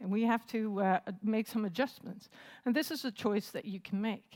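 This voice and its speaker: An ordinary speaking voice from a woman, fairly high in pitch, at a moderate pace on a very clean recording with a silent background. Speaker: assistant professor, conference speaker. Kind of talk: conference talk. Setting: stage with audience.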